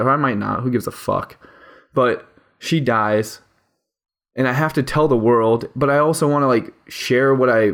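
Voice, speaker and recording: A man speaks at a medium pitch. His pitch variation is ordinary. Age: 20s. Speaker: podcast host. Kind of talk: solo personal monologue. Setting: home recording at microphone. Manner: fast.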